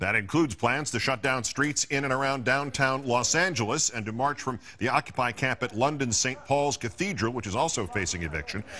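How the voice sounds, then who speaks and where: Using a plain, everyday voice, a man talks fairly quickly at medium pitch with lively intonation and hardly any pauses. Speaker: TV news anchor. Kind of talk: TV news broadcast.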